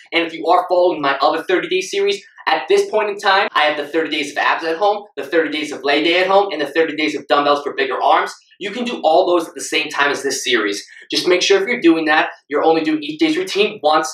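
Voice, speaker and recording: A man's high-pitched voice with audible room echo. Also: ordinary pitch variation, fairly quick pace. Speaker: fitness coach. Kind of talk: tutorial intro. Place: home room. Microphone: camera far.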